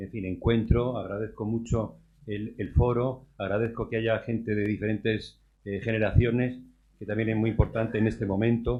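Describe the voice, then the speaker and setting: The man's voice sits at a fairly low pitch. He talks at a moderate pace with monotone, flat intonation. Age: 60s. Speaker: audience member commenting. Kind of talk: audience comment at round table. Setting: round table event with audience.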